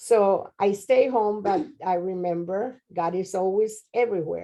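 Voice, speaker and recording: In a Spanish accent, a woman speaks at a fairly slow pace with a medium pitch, a dark, mellow tone and ordinary pitch variation. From Mexico (Monterrey). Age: 70s. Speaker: interviewee, grandmother. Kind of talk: interview.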